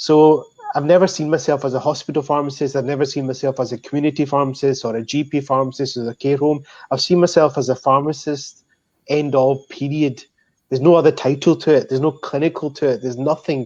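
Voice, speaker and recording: A man talks very fast in a Scottish accent, his pitch fairly high. His intonation is monotone and flat, and the background is quiet. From Scotland. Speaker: pharmacist. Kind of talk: panel discussion.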